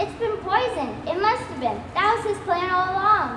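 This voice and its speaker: In a put-on character voice, a female-sounding speaker talks at a moderate pace with extremely high pitch, slight echo and loud background noise. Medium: stage play.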